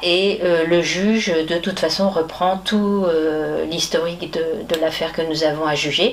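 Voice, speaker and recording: Over noticeable background noise, a woman speaks at a fairly slow pace in a fairly low pitch. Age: 70s. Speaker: lay juvenile court judge. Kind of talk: interview. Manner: hesitant, many fillers.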